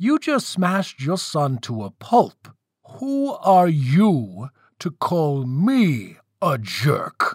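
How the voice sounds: A man's put-on character voice, fairly high with a slightly husky edge and big pitch swings, at a very slow pace in a very clean recording with a silent background.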